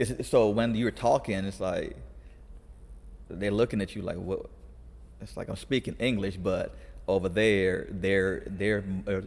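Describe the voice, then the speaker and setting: A man's fairly low, fry-edged voice at a fairly slow pace, with ordinary pitch variation and long, frequent pauses. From California, US (moved from abroad as a child). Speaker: youth conditioning coach. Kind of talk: casual podcast interview. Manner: halting, many restarts.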